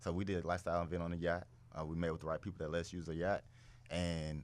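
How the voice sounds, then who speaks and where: The delivery comes in a Southern US accent. It moves along fairly quickly. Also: man. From US South. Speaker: pro football player. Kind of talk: casual podcast interview.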